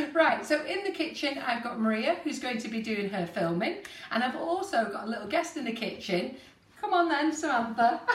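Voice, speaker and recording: With audible room echo, a woman speaks high in pitch at a moderate pace, her pitch swinging very widely. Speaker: host. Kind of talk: live stream intro chat. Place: kitchen. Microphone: camera far.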